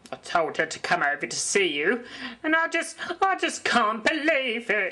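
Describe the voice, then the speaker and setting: A woman's cartoonish character voice, high-pitched, with very wide pitch swings and a moderate pace. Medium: puppet show. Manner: blunt, coarse.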